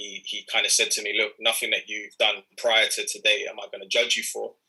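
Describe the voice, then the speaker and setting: A man with a London accent talks at a fairly quick pace, his loudness swinging widely. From North London (Enfield). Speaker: youth mentor and entrepreneur. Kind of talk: talk to an audience. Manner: halting.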